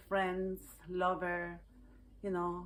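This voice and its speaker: A woman is speaking. She has a Chilean Spanish accent. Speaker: healing arts practitioner. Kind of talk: personal reflective talk to camera.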